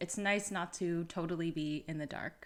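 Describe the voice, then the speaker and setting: Recorded very cleanly against a silent background, a woman with an American accent and an unremarkable speaking voice talks at a fairly low pitch and moderate pace. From United States. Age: 30s. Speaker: vlogger. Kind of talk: casual vlog talk to camera.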